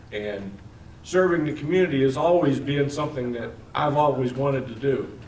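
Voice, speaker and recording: Talking at a moderate pace in an American accent, a man with a fairly high pitch and ordinary pitch variation is heard with audible room echo and noticeable background noise. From Missouri, Imperial. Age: 60s. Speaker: political candidate. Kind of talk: campaign speech. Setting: public meeting.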